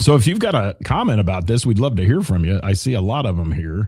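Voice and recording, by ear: In a put-on character voice, a hoarse man rattles along at a very fast pace with a fairly low pitch.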